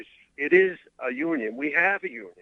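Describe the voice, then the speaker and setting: A man with a New York accent talks with lively intonation. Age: 70s. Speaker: lifeguard. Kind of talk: radio interview. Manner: halting, many filler uhs.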